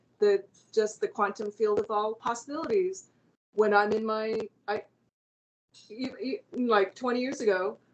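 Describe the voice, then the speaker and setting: At a fairly high pitch, a woman speaks with fairly even intonation and a moderate pace. She takes long, frequent pauses. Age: 60s. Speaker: singer-songwriter and artist. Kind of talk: casual interview chat. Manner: halting, many repeated words and fillers.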